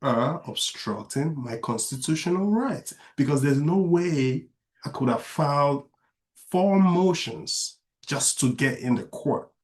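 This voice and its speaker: A man with a non-native accent speaks at a fairly slow pace and a fairly high pitch. His voice is somewhat breathy, with lively intonation. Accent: moderate foreign. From outside the US, immigrant. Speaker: author and father. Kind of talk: interview conversation.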